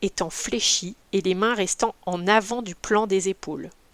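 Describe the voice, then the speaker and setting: The recording is very clean, with a silent background and a dry, close sound with no echo. A woman speaks fairly slowly at medium pitch, with ordinary pitch variation. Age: 40s. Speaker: volleyball coach. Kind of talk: solo podcast tutorial. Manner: hesitant with fillers.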